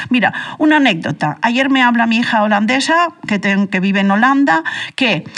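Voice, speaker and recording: Over noticeable background noise, a woman with a high voice talks at a moderate pace, her pitch swinging very widely. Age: 60s. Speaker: radio panelist. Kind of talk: heated debate. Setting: radio studio. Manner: animated.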